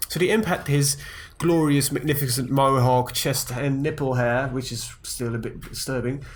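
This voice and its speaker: A man speaks at a medium pitch and a moderate pace, somewhat breathy, with fairly even intonation. Audible room echo surrounds the voice. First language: not English. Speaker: gaming youtuber. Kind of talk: let's play commentary. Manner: hesitant, many fillers.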